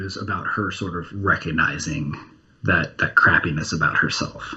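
A man with an American accent keeps to a moderate speed while clear noise sounds behind him. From New Jersey. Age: 30s. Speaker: comic book writer. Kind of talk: interview.

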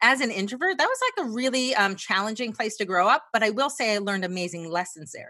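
A woman's bright, sharp, fairly high voice with an American accent, lively intonation, a very fast pace and hardly any pauses, over a quiet background. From New Jersey. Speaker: sales trainer. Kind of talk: interview.

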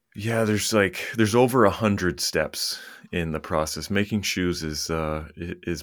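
In an American accent, the speaker moves at a moderate pace with ordinary pitch variation on a very clean recording with a silent background. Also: man, hardly any pauses. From Maine, US. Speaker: apparel brand founder. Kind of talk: interview conversation.

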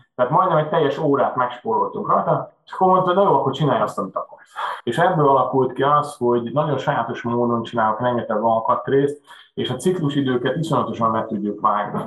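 At a fairly quick pace, a man speaks in a fairly high pitch with lively intonation. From Hungary, Budapest. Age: 40s. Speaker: machine shop owner. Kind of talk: interview. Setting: video call.

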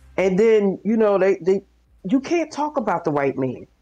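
A woman talks while music plays in the background. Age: 50s. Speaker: social worker. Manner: loud, fiery, indignant.

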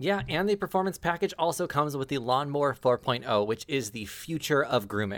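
At a moderate pace, a man talks in an animated tone with lively intonation and a fairly high pitch. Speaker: tabletop game master and podcast host. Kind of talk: tabletop roleplaying game session.

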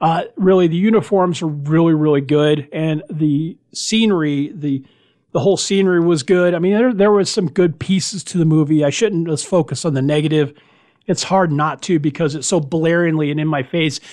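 A man speaks at a moderate pace with an American accent. His fairly high pitch sits in a plain, everyday voice. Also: ordinary pitch variation, quiet background. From US Florida. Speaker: podcast host, wargaming hobbyist. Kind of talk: casual podcast host chat and movie review. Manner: conversational, informal, mildly self-deprecating.

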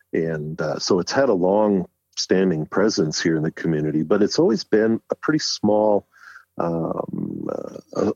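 This man has a very deep, low voice. He talks fairly slowly with ordinary pitch variation. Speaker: retired park ranger and photographer. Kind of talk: interview.

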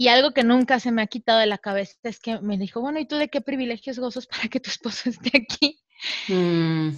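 With an unremarkable speaking voice, a woman with a fairly high pitch speaks using lively intonation. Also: fairly quick pace. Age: 30s. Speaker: mother sharing birth stories. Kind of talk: interview testimony.

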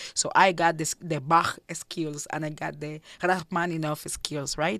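A woman with a Cuban accent speaks fairly slowly at a fairly low pitch. The recording is very clean, with a silent background. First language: Spanish. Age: 30s. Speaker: jazz singer and composer. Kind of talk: radio interview. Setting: studio.

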